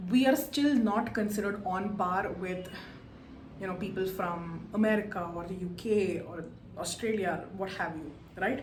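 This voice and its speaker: Amid noticeable background noise and audible room echo, a woman with a Kannada accent speaks at a moderate pace in a medium-pitched voice with ordinary pitch variation. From India. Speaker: book reviewer. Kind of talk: book review monologue.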